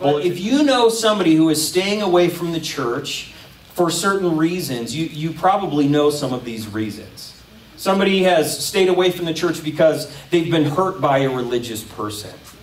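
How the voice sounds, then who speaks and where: The intonation is lively and the pace moderate, with audible room echo. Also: man. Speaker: pastor. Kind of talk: sermon. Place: stage.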